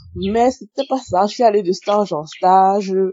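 At a very slow pace, a woman speaks at medium pitch. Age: 20s. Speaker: testimony contributor. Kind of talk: recorded testimony.

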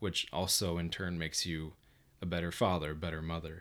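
An American accent at a moderate pace on a very clean recording with a silent background. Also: man. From southern Minnesota, Mountain Lake. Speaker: engineer, podcast guest. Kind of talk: casual chat.

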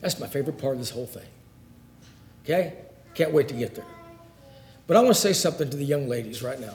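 Over noticeable background noise, a man talks very fast at a fairly high pitch with lively intonation. His loudness swings widely, and he leaves long, frequent pauses. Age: 50s. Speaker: Bible class teacher. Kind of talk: Bible lesson.

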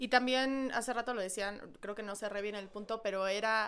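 Her pitch fairly high, a woman with a Mexican accent speaks at a moderate pace with ordinary pitch variation. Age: 20s. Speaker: podcast co-host. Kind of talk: casual chat.

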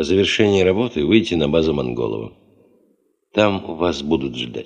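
Using a put-on character voice, a man speaks at an extremely low pitch with a slightly mellow tone, a slightly husky edge, vocal fry, and lively intonation, at a moderate pace.

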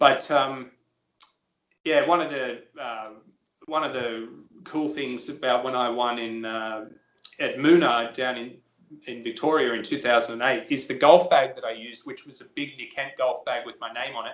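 Fairly even intonation from a man, moderately paced. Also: medium pitch for a man. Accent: Australian. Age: 30s. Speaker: former pro golfer and broadcaster. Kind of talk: interview.

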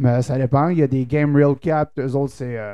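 Speaking at a fairly slow pace, a man has a dark, mellow tone and a fairly high pitch. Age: 20s. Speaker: podcast co-host, musician. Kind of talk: casual chat.

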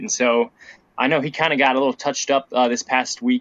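A man with a Midwestern American accent talks at a fairly quick pace. His pitch sits at a medium level with ordinary variation. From Ohio, Dayton. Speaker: student sports reporter. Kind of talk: casual podcast chat.

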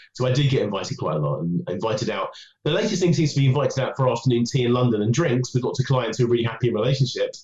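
A man rattles along at a very fast pace with lively intonation. His medium-pitched voice is somewhat breathy. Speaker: dating coach and author. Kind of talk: interview.

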